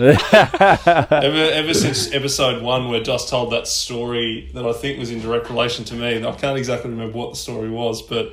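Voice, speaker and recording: Hardly any pauses break this fairly quick delivery with fairly even intonation, captured with audible room echo and noticeable background noise. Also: man, medium pitch for a man. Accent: Australian. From Ballarat, Victoria, Australia. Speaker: podcast guest. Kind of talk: casual chat.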